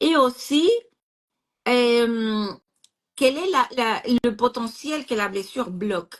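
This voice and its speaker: A woman's high-pitched, very slow speech with lively intonation, long and frequent pauses, and a non-native accent. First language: not French (speaking French). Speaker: astrologer. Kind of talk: casual chat. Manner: halting.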